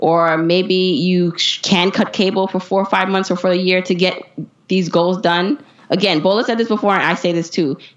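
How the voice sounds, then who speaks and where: At a moderate pace, an ordinary speaking voice talks with an American accent. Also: woman. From US Northeast, Brooklyn, New York. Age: 30s. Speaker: personal finance blogger and podcaster. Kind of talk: interview.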